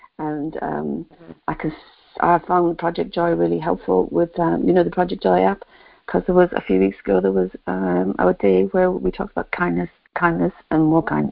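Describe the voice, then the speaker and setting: A woman with an English accent, at a moderate pace. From England. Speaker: caller. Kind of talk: casual chat. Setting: phone call.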